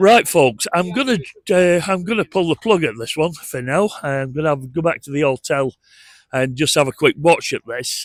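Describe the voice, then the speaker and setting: A man speaks with a northern English accent and lively intonation. The sound is dry and close, with no echo. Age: 60s. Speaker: travel vlogger. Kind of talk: casual vlog walk-through narration. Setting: outdoors. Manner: conversational, hesitant with fillers.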